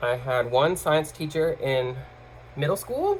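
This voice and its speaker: Noticeable background noise sits behind a man with a Pacific Northwest accent speaking at a moderate pace. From US Northwest, Washington state. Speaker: YouTuber and composer. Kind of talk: casual vlog monologue. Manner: casual, many fillers.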